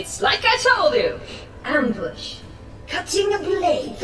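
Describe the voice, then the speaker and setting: A cartoonish character voice speaks at an extremely high pitch and a fairly slow pace. Clear echo and clear background noise fill the recording. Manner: dismissive, blasé.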